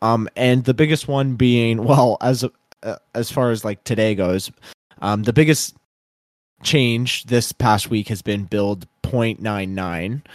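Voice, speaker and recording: On a very clean recording with a silent background and a dry, close sound with no echo, a man in a normal speaking voice talks at a fairly slow pace, with medium pitch and fairly even intonation. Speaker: podcast host. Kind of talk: casual chat.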